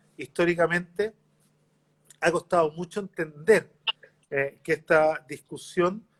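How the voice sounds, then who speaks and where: A man with a Chilean accent, high pitch and fairly slow pace, in a dry, close sound with no echo. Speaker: mayor, politician. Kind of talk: interview.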